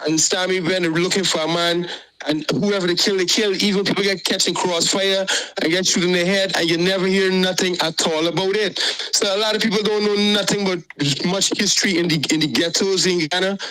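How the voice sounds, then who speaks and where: The voice moves at a fairly quick pace with fairly even intonation and very even loudness. Noticeable background noise sits behind it. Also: man, high pitch for a man. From Guyana (Georgetown area). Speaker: caller. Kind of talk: call-in opinion talk.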